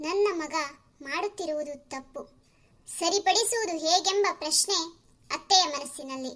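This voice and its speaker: A woman speaks in a cartoonish character voice at an extremely high pitch. Her pace is fairly slow. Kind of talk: sentimental serial melodrama narration. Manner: solemn, emotive, deliberate.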